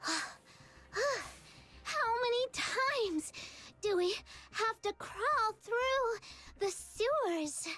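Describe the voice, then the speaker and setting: Very slowly, a put-on character voice speaks at an extremely high pitch. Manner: complaining, exasperated.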